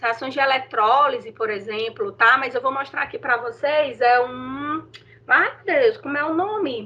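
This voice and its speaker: A raised, projected voice with a bright, sharp tone speaks at a fairly slow pace. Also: woman. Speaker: teacher. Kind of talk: online lecture.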